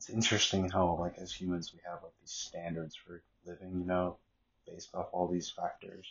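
This man's voice is very deep and low and somewhat breathy. He speaks at a moderate pace. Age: 30s. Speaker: podcaster. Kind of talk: casual monologue.

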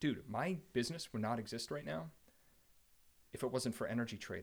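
Speaking at a fairly quick pace yet with long, frequent pauses, a man with an American accent has a somewhat breathy, medium-pitched voice with very wide pitch swings. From New Jersey, Central Jersey. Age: 30s. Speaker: energy company executive. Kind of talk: casual chat.

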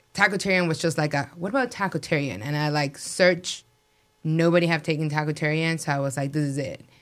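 Talking at a very fast pace in a Spanish accent, the speaker shows ordinary pitch variation. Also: woman, very deep, low pitch for a woman. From Mexico City. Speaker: restaurant owner. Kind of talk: interview.

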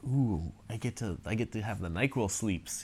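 A man with an unremarkable speaking voice talks at a fairly low pitch, his intonation lively. The recording is very clean, with a silent background. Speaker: podcast co-host. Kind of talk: casual chat. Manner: joking, self-deprecating.

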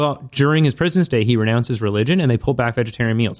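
A man with medium pitch and an ordinary speaking voice. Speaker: podcast co-host. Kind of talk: casual chat.

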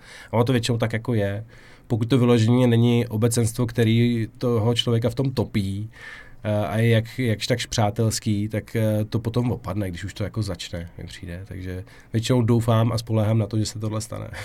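A man speaks at a medium pitch with fairly even intonation and a dark, mellow tone, on a very clean recording with a silent background. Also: fairly quick pace. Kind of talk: casual interview. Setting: podcast studio.

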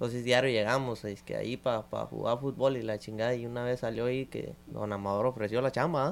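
A man with a normal speaking voice at medium pitch talks fairly quickly with fairly even intonation and hardly any pauses. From Mexico. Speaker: podcast guest. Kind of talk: casual chat.

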